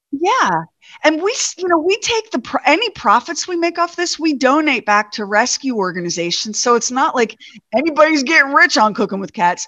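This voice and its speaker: With an American accent, this bright, sharp, raised and projected voice moves at a fairly quick pace through very wide pitch swings, recorded with a dry, close sound and no echo. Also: woman, high pitch for a woman. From US Northeast, New York. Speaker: radio host and cookbook author. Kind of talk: casual chat. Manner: animated.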